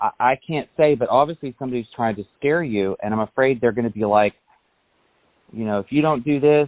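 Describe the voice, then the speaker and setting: A man with an unremarkable speaking voice talks at a fairly quick pace, his pitch varying in an ordinary way. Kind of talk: phone call with family.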